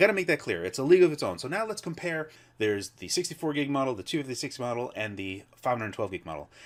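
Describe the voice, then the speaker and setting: On a very clean recording with a silent background, a man of medium pitch speaks very fast with vocal fry, very wide pitch swings and big swings in loudness. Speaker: tech reviewer. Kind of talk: product review. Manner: enthusiastic.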